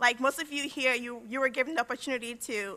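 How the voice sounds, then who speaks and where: At a moderate pace, the voice is raised and projected. Its tone is bright and sharp. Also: woman. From Liberia. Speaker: university graduate, senior speaker. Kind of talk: commencement speech.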